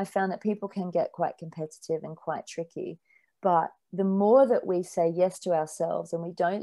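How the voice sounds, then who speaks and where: Speaking with an Australian accent, a woman uses a fairly low pitch and a dark, mellow tone at a moderate pace, her intonation fairly even in a dry, close sound with no echo. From rural Australia. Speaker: spiritual author. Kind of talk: podcast interview.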